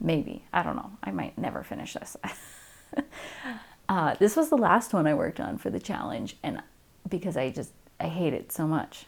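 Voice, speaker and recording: A woman with a fairly low pitch and vocal fry speaks at a moderate pace. Her pitch swings very widely, and she leaves long, frequent pauses. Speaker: cross-stitch vlogger. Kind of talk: casual hobby vlog. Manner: chatty with many fillers.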